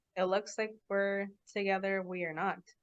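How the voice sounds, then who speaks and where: The speaker is a woman with a medium pitch and a Californian accent. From Los Angeles, California. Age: 20s. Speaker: podcast host, engineer. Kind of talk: casual chat. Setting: video call.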